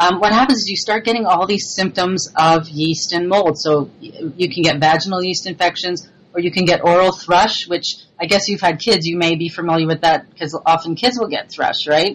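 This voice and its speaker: At a moderate pace with hardly any pauses, a woman speaks at a fairly low pitch with ordinary pitch variation. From Montreal, Quebec. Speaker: cookbook author and food blogger. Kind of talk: casual chat. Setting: Skype call.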